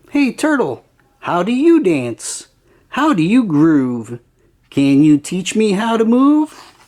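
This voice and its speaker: A put-on character voice, female-sounding, at medium pitch with very wide pitch swings and a fairly slow pace. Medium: read story.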